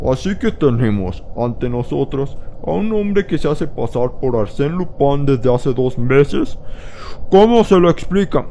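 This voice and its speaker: Doing a put-on character voice, a man speaks fairly high at a moderate pace over clear background noise. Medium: read story. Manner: authoritative, questioning.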